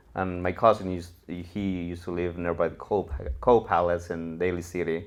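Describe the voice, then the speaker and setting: With a Mexican accent, a man speaks in a very deep, low pitch and fairly even intonation. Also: moderate pace. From Mexico, Cuernavaca, Morelos. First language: Spanish. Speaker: real estate investor. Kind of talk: interview storytelling.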